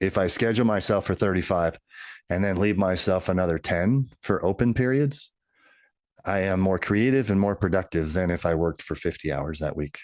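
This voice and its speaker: A man's very deep, low voice with an American accent and ordinary pitch variation, against a quiet background. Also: fairly quick pace. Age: 60s. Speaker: business executive and author. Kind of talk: podcast interview. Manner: halting.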